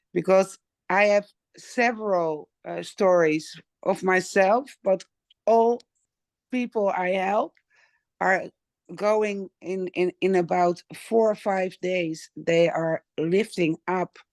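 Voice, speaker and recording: A woman with a Dutch accent speaks very slowly at a medium pitch, with ordinary pitch variation and long, frequent pauses, the sound dry and close with no echo against a quiet background. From Netherlands. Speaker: wellness product user. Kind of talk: testimony. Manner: halting.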